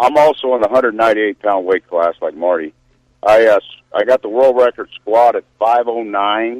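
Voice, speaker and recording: This is a normal speaking voice with ordinary pitch variation. The sound is dry and close, with no echo. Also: man, medium pitch for a man, moderate pace. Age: 60s. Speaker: powerlifter. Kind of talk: radio interview.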